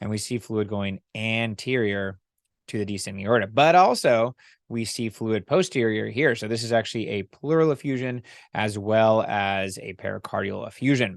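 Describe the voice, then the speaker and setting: He has a normal speaking voice, medium in pitch. His moderate pace comes with ordinary pitch variation. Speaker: ultrasound instructor. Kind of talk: lecture.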